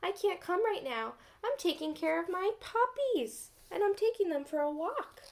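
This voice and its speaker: A woman uses a put-on character voice that is squeaky and extremely high in pitch. She keeps a moderate pace. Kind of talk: bedtime story. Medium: read story.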